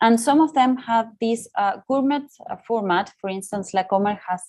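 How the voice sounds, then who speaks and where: A woman uses an ordinary speaking voice with lively intonation at a moderate pace. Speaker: market research consultant. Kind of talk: webinar presentation. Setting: online webinar.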